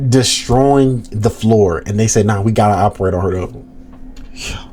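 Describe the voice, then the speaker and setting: Over noticeable background noise, a man at medium pitch talks in an animated tone at a fairly quick pace with ordinary pitch variation. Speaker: reaction streamer. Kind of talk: casual chat. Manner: loud.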